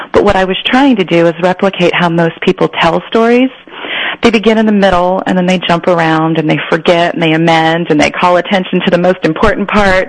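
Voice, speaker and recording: Over noticeable background noise, a woman with an American accent and a fairly low voice speaks at a fairly quick pace, her loudness very even and her pitch varying in an ordinary way. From Northern California, San Joaquin Central Valley. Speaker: novelist. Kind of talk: interview.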